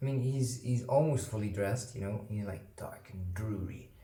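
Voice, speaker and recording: In a non-native accent, a man speaks with a dark, mellow, somewhat breathy tone and ordinary pitch variation, with audible room echo around him. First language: not English. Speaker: board game unboxing youtuber. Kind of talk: casual unboxing commentary. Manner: hesitant with fillers.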